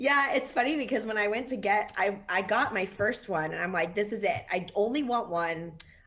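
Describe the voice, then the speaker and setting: Over noticeable background noise, a woman speaks at a moderate pace with hardly any pauses. Her medium pitch carries lively intonation. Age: 30s. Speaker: sports writer and photographer. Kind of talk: interview.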